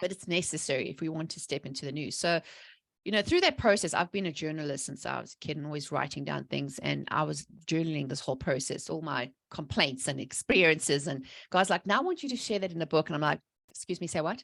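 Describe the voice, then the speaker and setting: In a very clean recording with a silent background and a dry, close sound with no echo, a woman speaks very fast in a very deep, low pitch, animated in tone, with vocal fry and ordinary pitch variation. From South Africa. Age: 40s. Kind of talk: podcast interview testimony.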